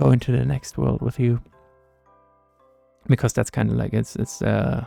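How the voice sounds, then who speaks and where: A soft-spoken man over music in the background, with a dry, close sound and no echo. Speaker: gaming content creator. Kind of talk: casual talk to camera, gaming commentary. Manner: soft-spoken, relaxed.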